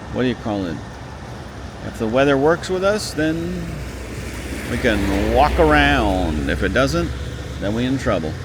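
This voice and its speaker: The speech moves at a fairly slow pace with long, frequent pauses. Noticeable background noise is present. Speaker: walking tour vlogger. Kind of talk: casual vlog narration. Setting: outdoors, walking in light rain. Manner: louder than normal.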